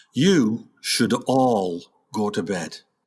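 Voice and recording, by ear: Using a put-on character voice, a man speaks at a very slow pace with a fairly low pitch, lively intonation and a slightly mellow tone, on a very clean recording with a silent background.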